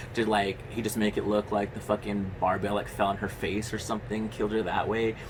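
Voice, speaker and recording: Over noticeable background noise, a man with a fairly low voice talks at a fairly quick pace with very even loudness. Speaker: horror movie youtuber. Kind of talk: casual movie review monologue. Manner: fast; animated.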